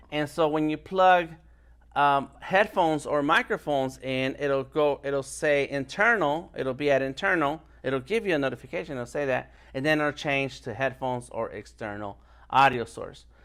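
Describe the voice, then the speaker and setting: A man's fairly high-pitched voice at a moderate pace, animated in tone, with ordinary pitch variation. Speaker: live streamer and illustration instructor. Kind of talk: tutorial. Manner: loud.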